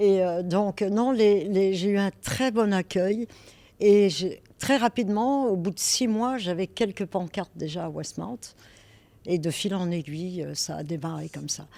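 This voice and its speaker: A woman with a Parisian accent speaks at a fairly slow pace in a medium pitch with ordinary pitch variation. Her tone is dark and mellow, and the recording is very clean with a silent background. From France, Paris. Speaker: real estate broker. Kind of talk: interview. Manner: hesitant, with fillers.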